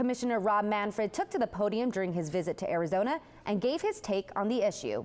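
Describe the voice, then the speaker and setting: Intonation from this woman is lively. She speaks at a very fast pace. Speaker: sports reporter and anchor. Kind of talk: sports news report.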